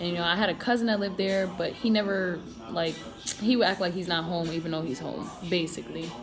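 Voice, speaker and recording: A woman with an American accent and a fairly low pitch at a very fast pace, with audible room echo and music in the background. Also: ordinary pitch variation. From Connecticut and South Carolina, US. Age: 20s. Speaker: marine and vlogger. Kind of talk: casual personal vlog storytelling. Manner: casual, filler-heavy.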